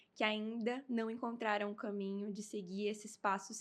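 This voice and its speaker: A woman speaks at a moderate pace. Her fairly high voice stays monotone and flat. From Brazil, Amazonas. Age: 20s. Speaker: beauty pageant winner. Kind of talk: interview.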